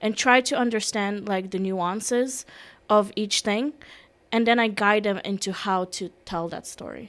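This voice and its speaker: A woman's medium-pitched voice with a non-native accent, fairly slow and fairly even in intonation. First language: Russian. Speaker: security specialist and personal branding consultant. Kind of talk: podcast interview.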